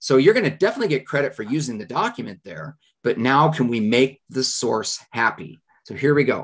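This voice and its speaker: The background is quiet while a man talks. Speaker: history teacher. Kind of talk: live lesson reviewing student writing samples. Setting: live stream. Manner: fast.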